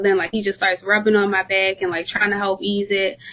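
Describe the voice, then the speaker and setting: A woman of medium pitch at a very fast pace, over noticeable background noise. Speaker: podcast guest. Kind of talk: casual chat. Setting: hospital bed, remote call.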